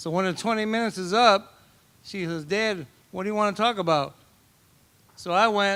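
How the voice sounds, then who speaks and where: This man's high-pitched voice has a bright, sharp tone, ordinary pitch variation and a moderate pace. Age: old. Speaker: father of the bride. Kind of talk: wedding toast. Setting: wedding reception with audience. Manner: halting.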